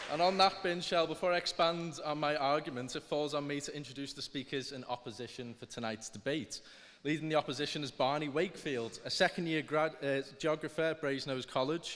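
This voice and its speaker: A man with a Liverpool accent speaks at a fairly quick pace and a fairly high pitch. He shows ordinary pitch variation and hardly any pauses. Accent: Scouse. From northern England, Liverpool. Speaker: student debate speaker. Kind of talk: formal debate speech. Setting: stage with audience. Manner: halting.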